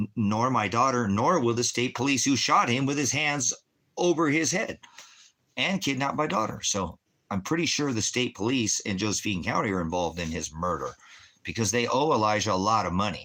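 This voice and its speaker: Animated and fairly quick, a man speaks with an American accent and a medium pitch. His bright, sharp tone moves through very wide pitch swings. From Los Angeles, California. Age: 50s. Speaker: streamer and preacher. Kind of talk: livestream rant. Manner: fast.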